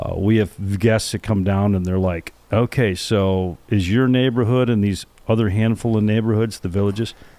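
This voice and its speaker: A normal speaking voice delivers fairly even intonation at a moderate pace. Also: man, fairly low pitch for a man. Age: 60s. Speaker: podcast co-host. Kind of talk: casual chat.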